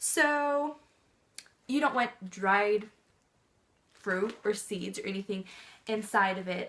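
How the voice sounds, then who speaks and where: Very slowly, a woman speaks in a fairly high pitch with ordinary pitch variation. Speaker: pet vlogger. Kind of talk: casual tutorial. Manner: hesitant, many fillers; soft-spoken.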